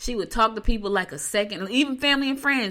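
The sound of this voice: A woman talks fast in a fairly high pitch with a bright, sharp tone. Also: ordinary pitch variation.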